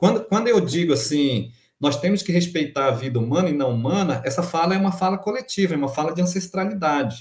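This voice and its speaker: A man with a high pitch races along at a very fast pace with lively intonation. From Amapá, Brazilian Amazon. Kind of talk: interview. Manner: halting, with repetitions.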